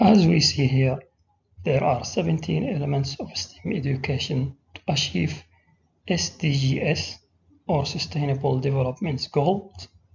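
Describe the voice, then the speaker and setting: With an Arabic accent, a man speaks at a fairly slow pace and fairly high pitch, with vocal fry and very wide pitch swings. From Saudi Arabia. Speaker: teacher. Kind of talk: presentation.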